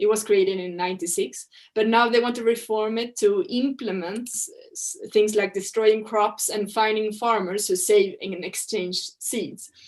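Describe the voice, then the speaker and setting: This woman, with a Swedish accent, speaks at a fairly high pitch, her loudness swinging widely. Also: ordinary pitch variation, moderate pace. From Sweden. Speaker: researcher on farming and trade. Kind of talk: presentation. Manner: halting, with restarts.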